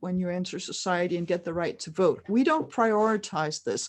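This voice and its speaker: A woman talks at a moderate pace with ordinary pitch variation. She has an unremarkable speaking voice against a quiet background. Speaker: writer and futurist speaker. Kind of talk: lecture. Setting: stage with audience, interpreted.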